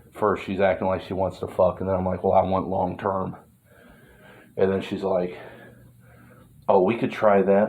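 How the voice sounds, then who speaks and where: A man with an American accent and a very deep, low pitch, at a moderate pace. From US, not Texas. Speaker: vlogger. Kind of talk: casual rambling monologue. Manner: casual, filler-heavy.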